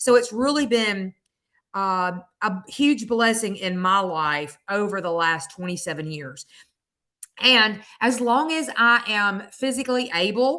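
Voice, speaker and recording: A woman's fairly high voice has a bright, sharp tone and a very slow pace. The background is quiet. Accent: Southern US. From US South, Mississippi. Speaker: direct sales consultant. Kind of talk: sales pitch testimony.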